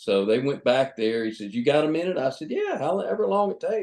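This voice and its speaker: Here is a man with an Alabama accent. His pitch is fairly high. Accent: Southern US (Alabama). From US Gulf Coast, Mobile, Alabama. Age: 60s. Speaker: retired boat captain. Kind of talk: interview. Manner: halting, many fillers and repeats.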